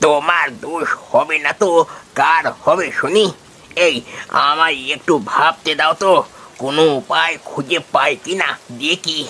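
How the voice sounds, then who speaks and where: A man's cartoonish character voice at a fairly high pitch, with a fairly slow pace and ordinary pitch variation. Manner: plainspoken, fatherly.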